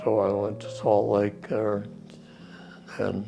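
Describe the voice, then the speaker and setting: Someone with an American accent speaks at a very slow pace while music plays in the background. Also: man. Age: 80s+. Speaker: war veteran. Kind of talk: interview answer.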